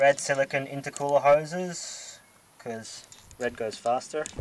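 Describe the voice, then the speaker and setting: A man at a very slow pace with fairly even intonation, against noticeable background noise. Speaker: car modding vlogger. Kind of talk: casual walkaround tutorial. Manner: halting, stuttering; casual.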